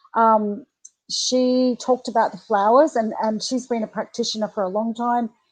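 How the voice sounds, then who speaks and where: In an Australian accent, a woman talks at a moderate pace with a fairly high pitch and fairly even intonation, against a quiet background. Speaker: animal communicator and webinar host. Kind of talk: live webinar talk. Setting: live online webinar. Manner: casual, many fillers.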